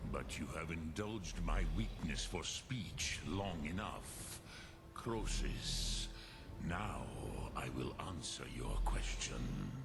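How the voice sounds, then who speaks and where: A man uses a put-on character voice with a very deep, low pitch at a very slow pace. Loud background noise runs underneath. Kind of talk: solemn epic fantasy. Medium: video game. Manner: slow, measured, mixes in dragon words.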